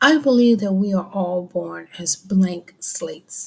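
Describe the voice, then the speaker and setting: Soft-spoken and somewhat breathy, a woman speaks at a very slow pace with lively intonation. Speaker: vlogger. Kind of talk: personal monologue. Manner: halting.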